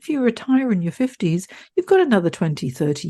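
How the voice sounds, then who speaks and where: A woman talks fairly quickly in a dark, mellow, somewhat breathy tone, her pitch swinging very widely. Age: 60s. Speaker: career coach. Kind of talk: podcast monologue. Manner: animated.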